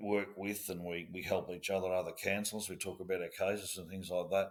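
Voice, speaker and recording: With an Australian accent, a man speaks in a very deep, low pitch. His intonation is monotone and flat, and his pace fairly quick. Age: 60s. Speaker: former police officer. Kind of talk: interview. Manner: halting.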